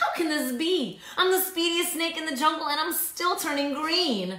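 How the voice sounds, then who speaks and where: High in pitch, this put-on character voice has a slight echo. It runs at a moderate pace. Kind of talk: children's story read-aloud. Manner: gasping, shocked, alarmed.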